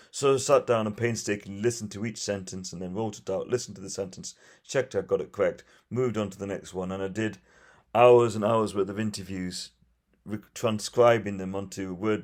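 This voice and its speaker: With a Geordie accent, a man talks at a fairly quick pace and fairly low pitch, with fairly even intonation and big swings in loudness, in a very clean recording with a silent background. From northeast England. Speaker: firefighter and refugee rescuer. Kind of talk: interview.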